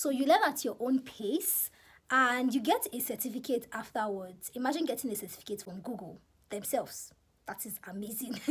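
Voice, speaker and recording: In a Nigerian accent, the speaker talks at a moderate pace with lively intonation and big swings in loudness. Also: woman, high pitch for a woman. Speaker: YouTuber. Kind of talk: casual vlog advice.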